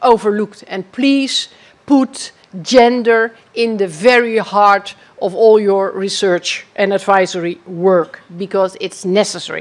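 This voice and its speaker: A woman with a Dutch accent, medium-pitched and fairly slow, with ordinary pitch variation. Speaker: former agriculture minister. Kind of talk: keynote speech.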